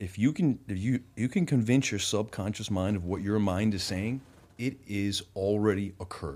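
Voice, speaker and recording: A man's normal speaking voice, fairly low-pitched, at a moderate pace with ordinary pitch variation. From Rhode Island, US. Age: 40s. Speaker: entrepreneur and investor. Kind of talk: podcast interview. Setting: studio.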